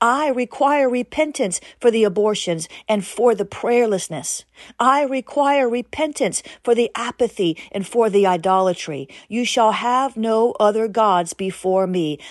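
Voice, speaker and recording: In a plain, everyday voice, a woman speaks fairly slowly at a fairly high pitch with lively intonation, the sound dry and close with no echo against a quiet background. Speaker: prayer podcast host and preacher. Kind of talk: fervent prophetic prayer, delivered as a commanding declaration in God's voice. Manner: intense, urgent, solemn and commanding.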